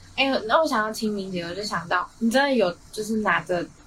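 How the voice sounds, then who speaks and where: A woman speaks at a moderate pace with ordinary pitch variation. There is noticeable background noise. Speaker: college radio host. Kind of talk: casual chat. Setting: studio.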